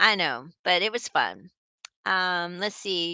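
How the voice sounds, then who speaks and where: A woman's medium-pitched voice with a Southern US accent, animated and bright, sharp in tone, in a dry, close sound with no echo and a quiet background. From Texas. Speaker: knitting channel host. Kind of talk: live stream chat reading viewer comments. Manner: chatty, animated.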